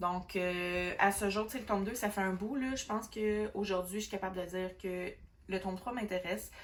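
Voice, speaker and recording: In a Quebec accent, a woman speaks at a medium pitch and moderate pace, somewhat breathy, with fairly even intonation. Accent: Québécois French. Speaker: book vlogger. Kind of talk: casual book review monologue. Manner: hesitant, many fillers.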